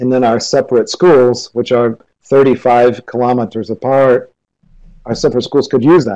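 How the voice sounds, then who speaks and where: A man's dark, mellow voice at medium pitch, in a Midwestern accent, with fairly even intonation and a moderate pace. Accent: American Midwestern. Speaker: teacher. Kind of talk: lecture. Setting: video call.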